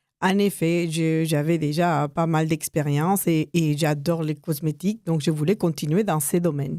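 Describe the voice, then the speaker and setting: A woman speaks with a dark, mellow tone and a very deep, low pitch. Her pace is fairly slow, her loudness very even and her intonation fairly even. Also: hardly any pauses. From United States, of Mexican descent. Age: 60s. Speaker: cosmetics entrepreneur. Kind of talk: radio interview. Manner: hesitant, many fillers.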